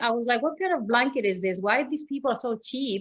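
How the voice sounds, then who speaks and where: A woman is speaking. She has a Greek accent. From Greece. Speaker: yoga teacher. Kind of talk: interview. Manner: animated.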